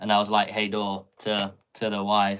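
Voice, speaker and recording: On a very clean recording with a silent background, a man with a Swedish accent speaks at a fairly slow pace and a fairly low pitch. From Sweden. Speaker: tarot reader. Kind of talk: live tarot reading Q&A. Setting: live stream.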